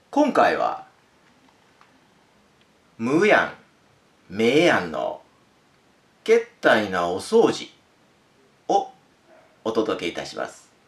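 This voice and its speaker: A man at a very slow pace, with long, frequent pauses and big swings in loudness. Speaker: narrator. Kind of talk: casual introduction to a reading. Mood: friendly, warm. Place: home room. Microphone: camera far.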